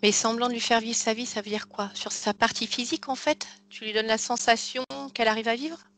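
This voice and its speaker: A woman speaking very fast at a fairly high pitch, intonation fairly even, loudness swinging widely. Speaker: regressive hypnosis therapist. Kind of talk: calm guided hypnosis session, questioning a client. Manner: calm, patient, soft-spoken.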